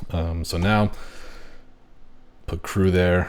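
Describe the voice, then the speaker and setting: On a very clean recording with a silent background, a man speaks quietly and very slowly with a very deep, low pitch. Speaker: fantasy football league commissioner. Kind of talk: solo commentary on fantasy rankings.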